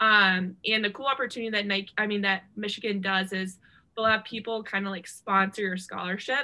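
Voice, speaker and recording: A woman with an American accent talks at a fairly quick pace in an ordinary speaking voice. Her pitch sits in the middle range, with fairly even intonation. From Ohio. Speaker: former college basketball player. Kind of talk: interview.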